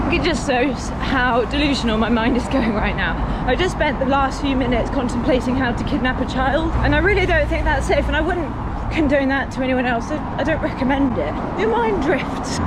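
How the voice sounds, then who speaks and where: A woman talks at a fairly quick pace in a high voice, with hardly any pauses, very even loudness and ordinary pitch variation. Crowd noise and audible room echo fill the background. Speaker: singer-songwriter and amateur runner vlogging. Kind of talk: vlog narration while running. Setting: outdoors.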